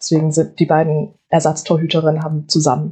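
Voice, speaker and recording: Somewhat breathy and fairly low in pitch, a woman's voice moves at a moderate pace. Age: 20s. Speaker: student and football player. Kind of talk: casual chat.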